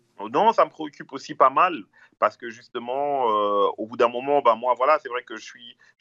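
The background is quiet as a man speaks at a medium pitch. His pitch varies in an ordinary way. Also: dry, close sound with no echo. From Brussels, Belgium. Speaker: rapper. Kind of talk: casual interview. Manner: halting.

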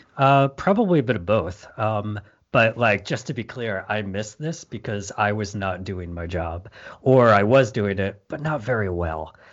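Speaking at a moderate pace with lively intonation, this is a normal speaking voice with an American accent. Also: man, fairly low pitch for a man. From Michigan, US. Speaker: design manager. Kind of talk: conversational interview.

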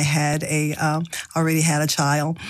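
A woman speaks in a very deep, low pitch with monotone, flat intonation. Noticeable background noise runs underneath. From US South. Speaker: nutrition counselor and wellness coach. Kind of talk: radio interview.

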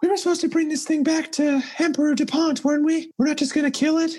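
A put-on character voice races along at a very fast pace. It is squeaky and high-pitched. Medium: actual play. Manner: practical, slightly exasperated.

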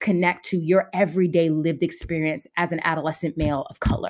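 With an American accent, a woman uses an ordinary speaking voice, fairly low in pitch and fairly even in intonation. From New Jersey, then upstate New York. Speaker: therapist. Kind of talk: interview conversation.

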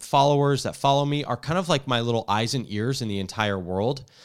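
On a very clean recording with a silent background, a man with an American accent speaks at a moderate pace. He has a normal speaking voice with lively intonation. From New Jersey. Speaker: tech reporter and podcast host. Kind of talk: casual tech podcast chat.

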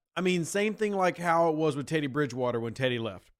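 An animated voice races at a very fast pace with very wide pitch swings, on a very clean recording with a silent background. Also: man. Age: 30s. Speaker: sports podcast host. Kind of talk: casual chat.

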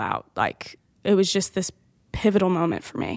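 Medium in pitch and fairly even in intonation, a woman speaks at a moderate pace with a slight Southern US accent. The recording is very clean, with a silent background. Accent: slight Southern twang. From Louisiana. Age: 20s. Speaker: youth pastor. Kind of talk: personal testimony.

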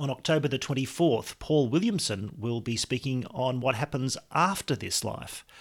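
A man speaks at a moderate pace in a medium-pitched voice with lively intonation. The recording is very clean, with a silent background. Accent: Australian. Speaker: podcast host. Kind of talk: scripted announcement; interview.

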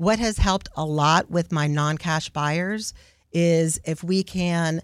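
A woman with an American accent has an ordinary speaking voice, a fairly low pitch and ordinary pitch variation. The recording is very clean with a silent background, and the sound is dry and close with no echo. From Houston, Texas. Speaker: realtor. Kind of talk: radio interview.

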